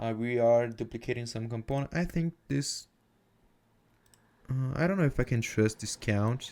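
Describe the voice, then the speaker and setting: Long, frequent pauses break up moderately paced speech with ordinary pitch variation, recorded very cleanly against a silent background. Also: man, medium pitch for a man. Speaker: software developer. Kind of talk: coding tutorial. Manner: casual, hesitant with fillers.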